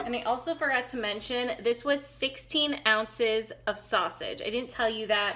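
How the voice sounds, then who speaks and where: A woman speaks high-pitched with a bright, sharp tone at a moderate pace, with ordinary pitch variation and hardly any pauses, over light background noise. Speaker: home cook vlogger. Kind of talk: casual cooking tutorial chat. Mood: relaxed and friendly. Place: kitchen. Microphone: phone near.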